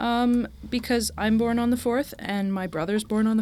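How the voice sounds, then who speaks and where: Noticeable background noise surrounds a woman who talks at a moderate tempo. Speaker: guest, Pride and Prejudice fan. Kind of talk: casual chat.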